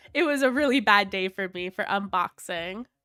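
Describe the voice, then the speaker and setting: A woman with a fairly high pitch speaks at a fairly slow pace in a Canadian accent, with ordinary pitch variation. The sound is dry and close with no echo, and music plays in the background. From Canada. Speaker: toy collector YouTuber. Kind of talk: livestream unboxing chat. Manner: casual, chatty.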